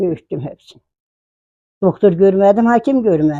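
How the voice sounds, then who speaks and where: A woman speaks at a medium pitch with a dark, mellow tone. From Kars, eastern Turkey. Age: 80s+. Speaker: village grandmother. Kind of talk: interview.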